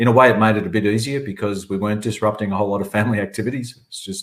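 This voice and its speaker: A man speaks with an Australian accent. His pitch is fairly low and his intonation fairly even. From southern Australia. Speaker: chief executive of a public agency. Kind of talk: webinar panel answer. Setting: online webinar.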